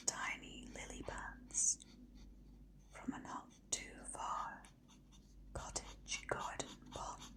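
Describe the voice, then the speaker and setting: A woman whispers in a soothing tone. She goes at a very slow pace over noticeable background noise. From Britain. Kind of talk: bedtime story narration. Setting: ASMR video. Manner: whispered, soothing.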